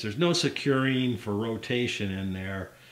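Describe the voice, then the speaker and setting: At a fairly slow pace, a man speaks amid audible room echo. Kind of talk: tutorial. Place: workshop. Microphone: camera far.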